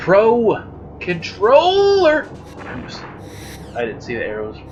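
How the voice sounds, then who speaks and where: At a very slow pace, the voice is heard with music in the background and audible room echo. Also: man. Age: adult. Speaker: let's play gamer. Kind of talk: gameplay commentary. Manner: animated.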